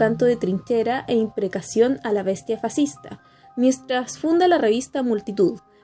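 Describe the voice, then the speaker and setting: Music plays in the background. A woman speaks over it with lively intonation. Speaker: radio host, literary program presenter. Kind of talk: literary radio program narration.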